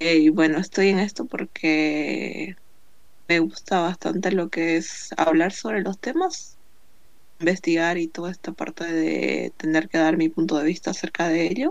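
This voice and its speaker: Fairly even intonation with vocal fry. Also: woman, fairly low pitch for a woman, fairly slow pace. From Bolivia. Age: 20s. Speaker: podcast co-host, accounting graduate. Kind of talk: casual chat.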